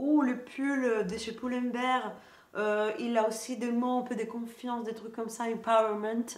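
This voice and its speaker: A woman speaks fairly slowly with a Greek accent. Her pitch is fairly high, and audible room echo is present. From Greece. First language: Greek (speaking French). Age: 20s. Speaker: lifestyle youtuber. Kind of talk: casual haul video chat. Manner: hesitant, many fillers.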